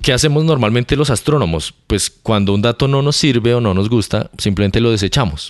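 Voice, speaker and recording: A plain, everyday voice at a fairly quick pace, with lively intonation, very even loudness and hardly any pauses. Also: man, medium pitch for a man. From Colombia, Bogotá. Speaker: astrophysicist. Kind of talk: casual interview. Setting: in person at university.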